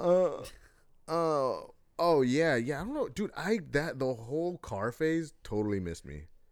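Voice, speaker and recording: A man talks at a fairly slow pace, recorded very cleanly against a silent background. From US, child of Mexican and Salvadoran immigrants. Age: 20s. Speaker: podcast co-host. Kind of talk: casual chat.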